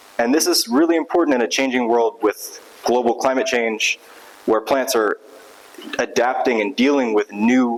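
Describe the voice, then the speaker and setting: Noticeable background noise accompanies a man whose loudness stays very even as he speaks at a moderate pace. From south Louisiana. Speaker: graduate student researcher in biology. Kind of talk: conference talk. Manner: casual, upbeat.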